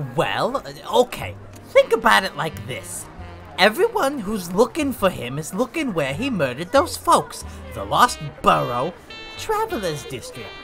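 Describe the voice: Over clear background music, a put-on character voice goes along at a moderate pace.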